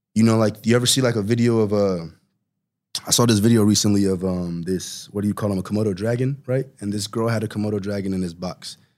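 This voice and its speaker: Recorded very cleanly against a silent background, a man talks at a fairly quick pace in a fairly low pitch. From Nigeria (Enugu), moved to Sacramento at ten. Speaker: rapper. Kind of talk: casual interview chat. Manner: animated, heavy filler words.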